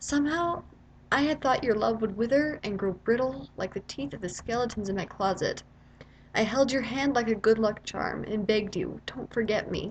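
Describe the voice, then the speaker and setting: This woman has a normal speaking voice, fairly high in pitch, moving at a moderate pace with lively intonation. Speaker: spoken word poet. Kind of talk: slam poetry reading.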